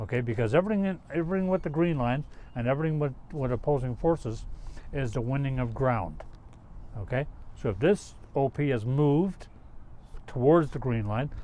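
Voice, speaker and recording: Speaking at a fairly quick pace with lively intonation, a man with a dark, mellow tone leaves long, frequent pauses. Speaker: retired army officer, peacekeeping veteran. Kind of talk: interview.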